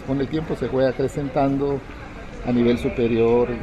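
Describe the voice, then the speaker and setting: Through noticeable background noise, a man of medium pitch talks at a fairly slow pace with ordinary pitch variation. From Mexico, Isthmus of Tehuantepec, Oaxaca. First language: Zapotec (speaking Spanish). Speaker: poet. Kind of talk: interview. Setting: book fair.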